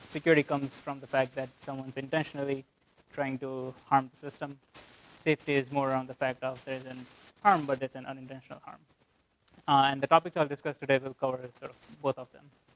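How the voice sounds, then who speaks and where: Very fast, monotone, flat delivery with big swings in loudness and a dry, close sound with no echo. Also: man, medium pitch for a man. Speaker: software engineer. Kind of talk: lecture.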